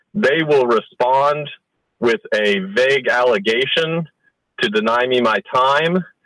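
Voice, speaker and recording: This man talks at a fairly slow pace with a medium pitch and ordinary pitch variation. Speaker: father in a custody dispute. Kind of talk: interview answer. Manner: hesitant.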